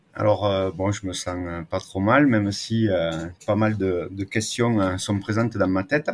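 Hardly pausing at all, a man speaks at a fairly slow pace. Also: fairly low pitch for a man. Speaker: agroclimatologist. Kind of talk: interview.

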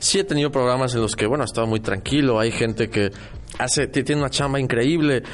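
Over music in the background, a man speaks fairly quickly at a medium pitch with ordinary pitch variation. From Mexico City, central Mexico. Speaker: architect and radio host. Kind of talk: casual chat.

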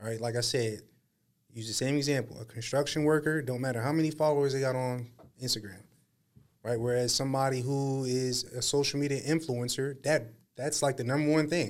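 At a fairly quick pace, a man with an American accent speaks in a normal speaking voice, medium in pitch with fairly even intonation. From Harrisburg, Pennsylvania, US. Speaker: podcast host. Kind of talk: casual chat.

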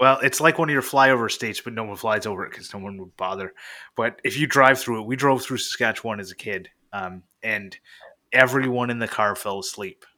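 A man's bright, sharp voice with a Canadian accent, medium pitch, ordinary pitch variation, big swings in loudness and a fairly quick pace, in a very clean recording with a silent background. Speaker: maker and podcaster. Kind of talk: casual chat.

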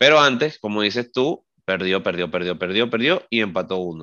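This man has a plain, everyday voice, a fairly low pitch and a moderate pace. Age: 30s. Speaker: football podcast co-host. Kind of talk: casual chat.

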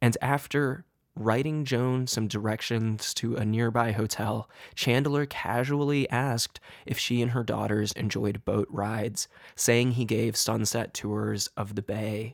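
With a plain, everyday voice, a man speaks at a medium pitch and a fairly slow pace, his intonation fairly even in a dry, close sound with no echo. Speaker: true crime podcaster. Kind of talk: true-crime narration. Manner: grave, measured storytelling; deliberate, somber, suspenseful.

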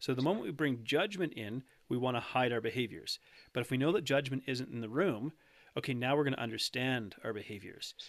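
An ordinary speaking voice from a man with a Canadian accent, medium in pitch, fairly quick, and lively in intonation. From Canada. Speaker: nutrition coach. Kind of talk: casual interview chat.

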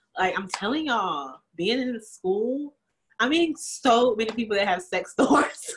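Her voice is animated and somewhat breathy, a fairly high-pitched woman's voice moving at a fairly slow pace with very wide swings in pitch. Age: 20s. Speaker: podcast co-host. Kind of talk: casual chat.

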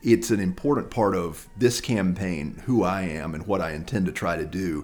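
The speaker has an American accent and lively intonation. Music plays in the background. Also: man. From North Carolina, Lexington. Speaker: political candidate. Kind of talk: interview.

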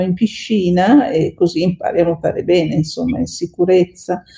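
Her voice is somewhat breathy, with a dark, mellow tone, medium pitch for a woman, ordinary pitch variation and a moderate pace. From northern Italy, Veneto (Bassano del Grappa, Vicenza). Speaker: lawyer and open-water swimmer. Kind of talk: podcast interview.

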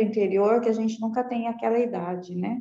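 Audible room echo surrounds a woman's fairly high voice, dark and mellow in tone, with fairly even intonation. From Brazil, Guarulhos (São Paulo). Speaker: breast cancer survivor and writer. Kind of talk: casual chat.

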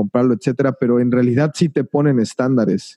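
A man speaks in a dark, mellow tone with ordinary pitch variation. The sound is dry and close, without echo. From Mexico. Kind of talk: interview.

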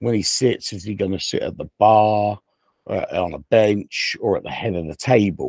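A man talks at a fairly slow pace in a normal speaking voice, pitched fairly low. The sound is dry and close with no echo, and his intonation stays fairly even. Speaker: wrestling podcast co-host. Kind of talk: casual banter podcast. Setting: remote connected microphone system.

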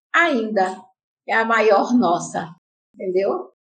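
A woman's voice moves through very wide pitch swings. Audible room echo surrounds it. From Paraíba, Brazil (Santa Rita). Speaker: activist and teacher. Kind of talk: interview.

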